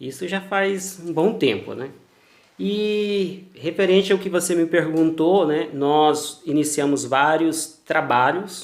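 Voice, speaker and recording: With a Mato Grosso do Sul accent, a man speaks at a very slow pace in a fairly high pitch with ordinary pitch variation. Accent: Mato Grosso do Sul accent, noticeable. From Brazil, Mato Grosso do Sul (Campo Grande). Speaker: cultural producer, former pastor. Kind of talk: interview. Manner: formal.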